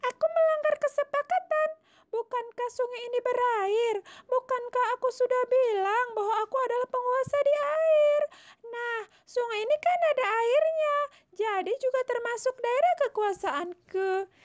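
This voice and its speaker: A woman puts on a character voice. It is extremely high-pitched and delivered at a moderate pace. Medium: read story. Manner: calm, cocky.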